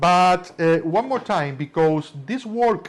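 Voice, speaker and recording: A man with a strong Spanish accent speaks at a high pitch. His pace is fairly slow and his intonation lively. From Spain. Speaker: magician teaching tricks. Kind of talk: lecture.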